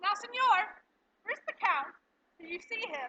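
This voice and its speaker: In a put-on character voice, a woman squeaks at an extremely high pitch with very wide pitch swings and a moderate pace. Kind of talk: Shakespearean stage verse. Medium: stage play. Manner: commanding yet affable.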